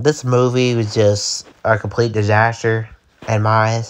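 The voice has an angry tone and keeps a fairly slow pace. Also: man. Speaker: horror movie YouTuber. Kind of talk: angry rant. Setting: video commentary over pictures. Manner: angry, repetitive, insulting, loud and heated; casual, conversational, filler-heavy.

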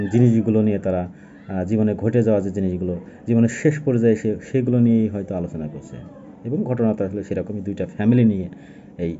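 This man's voice sits fairly low in pitch. His pitch varies in an ordinary way. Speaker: book reviewer. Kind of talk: book review monologue. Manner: casual, halting.

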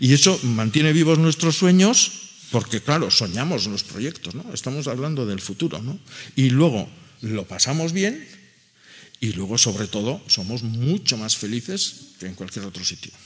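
A man at a medium pitch speaks with big swings in loudness and very wide pitch swings. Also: fairly slow pace. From Basque Country, Gipuzkoa; Basque Country. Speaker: agronomist and farmer; speaker. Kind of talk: panel discussion talk. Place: meeting room. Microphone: podium.

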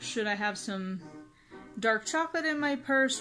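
A woman talks at a moderate pace with faint music in the background. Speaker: vlogger. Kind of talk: casual vlog chat. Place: home room. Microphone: phone near.

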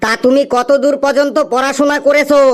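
In a cartoonish character voice pitched extremely high, a man talks at a moderate pace with flat, monotone intonation. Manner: curt, questioning.

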